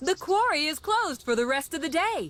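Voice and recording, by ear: A cartoonish character voice at an extremely high pitch goes along at a fairly quick pace.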